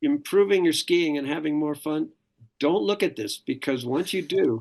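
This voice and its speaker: Very wide pitch swings over a quiet background. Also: man. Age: 70s. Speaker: ski coach. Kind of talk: casual chat.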